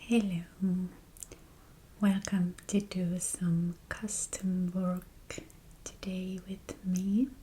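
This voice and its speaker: Soft-spoken and calm, a woman talks with fairly even intonation. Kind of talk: soft-spoken ASMR chat while crafting. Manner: soft-spoken, calm, slow.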